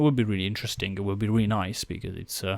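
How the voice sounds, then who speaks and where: A man with a non-native accent speaks at medium pitch with fairly even intonation. The recording is very clean, with a silent background. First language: not English. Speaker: esports video analyst. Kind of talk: game review commentary.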